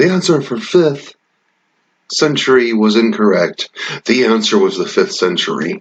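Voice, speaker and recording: Quiet speech at a moderate pace, with very wide pitch swings and long, frequent pauses. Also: man, medium pitch for a man. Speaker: YouTuber. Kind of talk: casual gaming-style quiz commentary.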